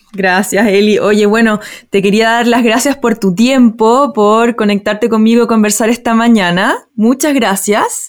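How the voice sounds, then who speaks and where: With an unremarkable speaking voice, a woman talks at a fairly slow pace with hardly any pauses, her fairly high pitch held in fairly even intonation and her loudness very even. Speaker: podcast host. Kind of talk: casual interview conversation.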